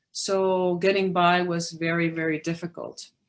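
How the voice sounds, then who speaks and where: A woman with a slight Spanish accent and fairly low pitch speaks at a fairly slow pace with fairly even intonation. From Peru. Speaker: magazine publisher. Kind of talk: presentation. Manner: hesitant fillers.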